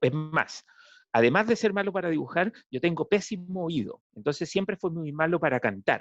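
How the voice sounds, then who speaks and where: Speaking at a moderate pace with lively intonation, the voice has a dry, close sound with no echo against a quiet background. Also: man, high pitch for a man. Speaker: political scientist, professor. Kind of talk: talk to school audience.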